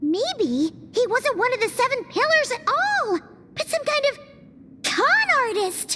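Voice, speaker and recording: An extremely high, put-on character voice speaks at a fairly slow pace. Loud background noise sits behind it. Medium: video game. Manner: excitable, chatty.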